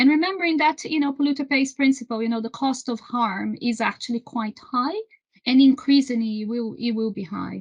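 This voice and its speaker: Talking at a fairly quick pace with a Brazilian accent, a woman uses a high pitch and ordinary pitch variation. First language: Portuguese. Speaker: renewable energy trade association executive. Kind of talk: interview. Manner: halting, many repetitions.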